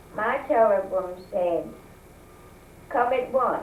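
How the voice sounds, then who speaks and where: In a Southern US accent, a woman talks at a very slow pace. Noticeable background noise is heard. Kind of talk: interview answer.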